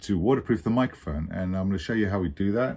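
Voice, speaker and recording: In a very deep, low pitch, a man talks with a dark, mellow tone and ordinary pitch variation. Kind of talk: tutorial. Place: office.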